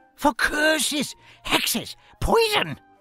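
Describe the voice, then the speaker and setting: A squeaky, high-pitched put-on character voice swings very widely in pitch, with faint music in the background. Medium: machinima. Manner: excitable, rambling.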